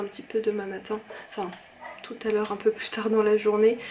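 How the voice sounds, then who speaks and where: Soft-spoken and fairly quick, a woman talks at a fairly high pitch over noticeable background noise. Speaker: vlogger. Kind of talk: vlog chat. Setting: at home late at night. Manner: hesitant, many fillers.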